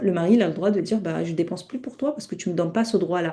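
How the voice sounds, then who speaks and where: A woman of medium pitch speaks with ordinary pitch variation. Her tone is dark and mellow. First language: not French (speaking French). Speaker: Islamic teacher. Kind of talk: online lecture. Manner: halting, many self-corrections.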